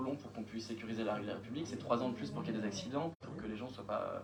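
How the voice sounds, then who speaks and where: A man's pitch varies in an ordinary way, with audible room echo and noticeable background noise around him. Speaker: municipal official presenting a project. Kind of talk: council meeting answer to questions. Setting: municipal council meeting. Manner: fast; hesitant, many fillers.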